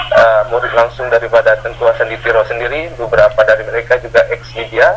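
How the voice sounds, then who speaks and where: A man speaks over noticeable background noise. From Aceh, Indonesia. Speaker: property caretaker. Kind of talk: interview answer.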